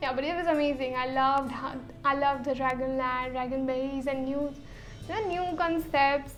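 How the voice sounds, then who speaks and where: A woman speaks at a high pitch and a moderate pace, with fairly even intonation. Music plays in the background, and room echo is audible. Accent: Indian. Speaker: YouTuber. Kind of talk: casual chat.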